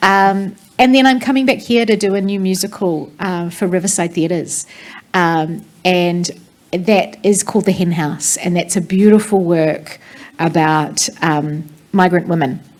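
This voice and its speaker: A woman's medium-pitched voice with a New Zealand accent, at a fairly slow pace with ordinary pitch variation. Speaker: theatre director. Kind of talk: panel discussion.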